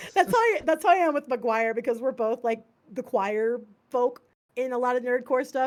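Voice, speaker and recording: A woman speaks in a high voice. Her pace is fairly quick. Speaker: singer and rapper. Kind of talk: casual chat.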